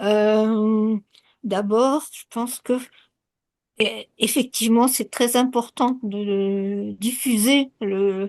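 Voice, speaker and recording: A woman with a fairly high pitch speaks very slowly, with long, frequent pauses, big swings in loudness and fairly even intonation. The sound is dry and close with no echo over a quiet background. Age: 80s+. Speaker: participant. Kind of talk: audience comment.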